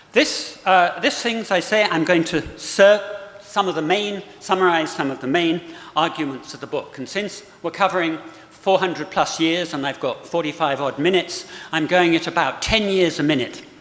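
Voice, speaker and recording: A man with a high pitch speaks at a moderate pace with ordinary pitch variation. Audible room echo and noticeable background noise are present. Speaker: historian and book author. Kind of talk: lecture. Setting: auditorium with live audience.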